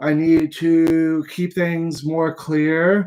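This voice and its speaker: Mumbling in a dark, mellow tone, a man speaks at a fairly high pitch with monotone, flat intonation. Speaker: bible teacher. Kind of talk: lecture. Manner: halting.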